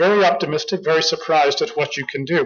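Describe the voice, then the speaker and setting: Speaking at a fairly quick pace, a man with an American accent has a fairly high pitch. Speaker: marine officer and former diplomat giving a talk. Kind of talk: conference speech. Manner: fast.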